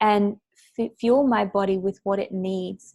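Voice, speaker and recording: A woman speaks at a medium pitch with fairly even intonation and a dark, mellow tone. The sound is dry and close, with no echo. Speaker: self-care coach for women entrepreneurs. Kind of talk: interview answer. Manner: calm, soft-spoken.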